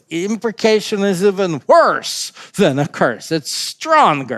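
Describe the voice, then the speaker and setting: Lively intonation runs through this man's speech. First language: not English. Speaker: pastor. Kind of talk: bible study discussion. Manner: halting, many fillers and restarts.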